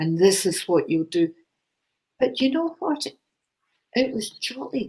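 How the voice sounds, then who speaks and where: Somewhat breathy, a woman with a Glaswegian accent and a fairly high pitch speaks at a fairly slow pace with very wide pitch swings. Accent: Glaswegian Scottish. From Scotland, Glasgow. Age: 70s. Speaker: spiritual channeller, author. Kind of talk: casual chat.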